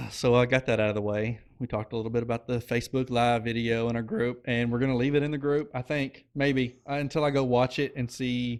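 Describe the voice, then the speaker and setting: A man with an Oklahoma accent at a very fast pace, medium in pitch, with monotone, flat intonation and hardly any pauses. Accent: noticeable Oklahoma. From Oklahoma, US. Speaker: podcast co-host and insurance business owner. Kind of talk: casual chat.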